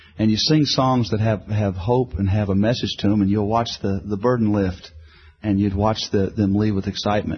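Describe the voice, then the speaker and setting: Talking at a very fast pace, a man with a fairly low pitch sounds somewhat breathy and keeps his intonation fairly even. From Houston, Texas. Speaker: gospel singer. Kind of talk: interview.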